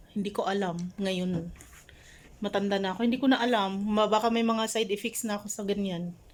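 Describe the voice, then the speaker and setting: In an unremarkable speaking voice, a woman talks at a fairly quick pace with medium pitch and fairly even intonation. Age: 40s. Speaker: vlogger. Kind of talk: casual chat. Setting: hotel room.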